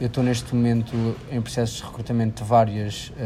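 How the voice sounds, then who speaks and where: This man's voice sits at medium pitch and moves at a fairly quick pace. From Portugal, Figueira da Foz. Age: 20s. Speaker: recent engineering graduate. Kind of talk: interview.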